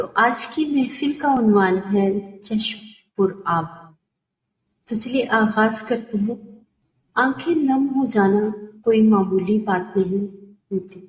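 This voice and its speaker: A woman's somewhat breathy voice sits at a fairly high pitch, with ordinary pitch variation. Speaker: poet and voice artist. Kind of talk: poetry reading. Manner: expressive.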